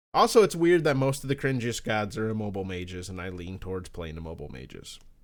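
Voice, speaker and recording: Mumbling at a very fast pace, a man with a fairly low pitch shows very wide pitch swings and big swings in loudness, on a very clean recording with a silent background. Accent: American. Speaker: podcast co-host. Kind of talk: casual chat. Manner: mumbling, clipped words.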